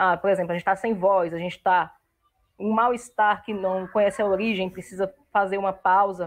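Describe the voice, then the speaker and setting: Against a quiet background, a woman talks in a medium pitch, monotone and flat. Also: fairly quick pace. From Brasília, Brazil. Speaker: university student and football fan. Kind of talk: casual chat.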